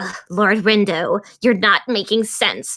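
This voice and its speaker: A woman's put-on character voice, medium in pitch, monotone and flat, at a fairly slow pace. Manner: exasperated, drawling.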